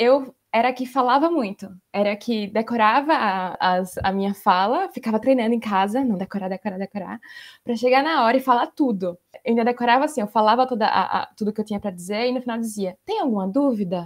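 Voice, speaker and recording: A woman with an unremarkable speaking voice, a fairly high pitch, ordinary pitch variation and a fairly quick pace. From Brazil, Maceió, Alagoas. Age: 20s. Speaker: researcher and lawyer. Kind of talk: casual interview.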